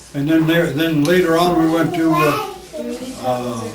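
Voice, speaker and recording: Amid noticeable background noise and audible room echo, a man with an American accent and a fairly high pitch talks at a fairly slow pace. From California, Tulare area. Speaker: elderly dairyman recounting his life. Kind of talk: oral history interview. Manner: halting, many fillers.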